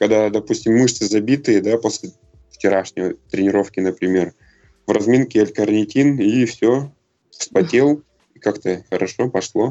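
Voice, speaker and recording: A man's fairly low voice with long, frequent pauses and music in the background. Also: ordinary pitch variation, very even loudness. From Russia, Chelyabinsk. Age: 30s. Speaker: CrossFit athlete and coach. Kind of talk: interview. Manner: halting, many fillers.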